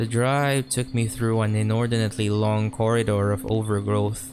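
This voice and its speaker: A man's fairly low voice at a moderate pace, fairly even in intonation, over music in the background. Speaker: creepypasta narrator. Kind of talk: horror story narration.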